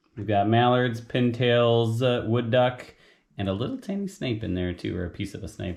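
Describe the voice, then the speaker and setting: A man speaks at medium pitch. His pitch variation is ordinary. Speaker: outdoor cooking channel host. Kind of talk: cooking tutorial. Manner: fast; casual, hesitant with fillers.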